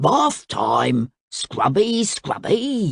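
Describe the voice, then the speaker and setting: This put-on character voice growls at a middle pitch. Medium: read story. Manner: playful, impish.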